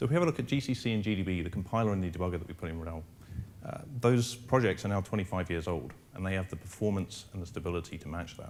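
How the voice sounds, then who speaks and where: A man with an English accent, very deep and low in pitch, ordinary pitch variation, very fast pace. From England, London. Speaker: engineering manager. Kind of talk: conference presentation.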